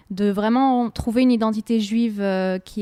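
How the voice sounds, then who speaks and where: Recorded very cleanly against a silent background, with a dry, close sound and no echo, a woman speaks at a fairly slow pace in a dark, mellow tone with fairly even intonation. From France (Strasbourg, Alsace). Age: 20s. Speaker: oboist, orchestra musician. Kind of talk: radio interview. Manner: hesitant, many fillers.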